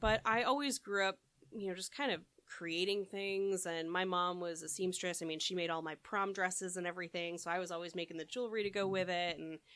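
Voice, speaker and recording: On a very clean recording with a silent background, a woman speaks at a fairly quick pace and medium pitch, her tone bright and sharp with ordinary pitch variation. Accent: Chicago. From Midwest US.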